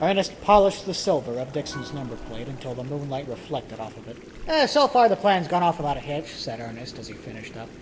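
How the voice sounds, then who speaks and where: The speech comes at a very fast pace with hardly any pauses, lively intonation and big swings in loudness. Noticeable background noise sits behind it. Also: man, fairly high pitch for a man. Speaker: amateur audio drama narrator. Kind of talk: audiobook-style story narration with character voices.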